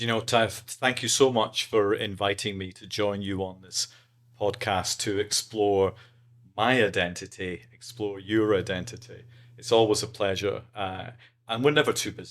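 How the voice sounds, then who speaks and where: A man's fairly low voice with an Edinburgh accent, moderate in pace and fairly even in intonation, with big swings in loudness. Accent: Scottish (Edinburgh). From Scotland, Edinburgh (Leith). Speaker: podcast guest. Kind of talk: casual interview chat.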